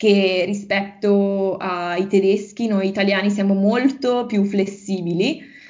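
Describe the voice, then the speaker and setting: A woman at a medium pitch, with an unremarkable speaking voice, at a fairly slow pace. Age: 20s. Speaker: language teacher and university student. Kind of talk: interview.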